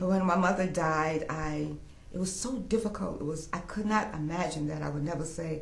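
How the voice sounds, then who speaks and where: Speaking at a moderate pace, a woman uses a very deep, low pitch with ordinary pitch variation. Noticeable background noise is present. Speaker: quilter. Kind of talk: interview answer.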